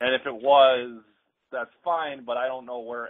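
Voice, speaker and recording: A man's fairly slow delivery keeps a fairly even intonation over a quiet background. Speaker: caller, fellow wrestling podcaster. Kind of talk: casual chat. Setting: phone call. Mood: opinionated, mildly frustrated. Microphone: phone line.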